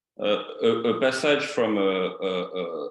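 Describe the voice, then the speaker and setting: In a room with audible echo, a man speaks with a strong French accent. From France. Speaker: participant in a spiritual meeting. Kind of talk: question in an online group discussion. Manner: halting, many repetitions and fillers.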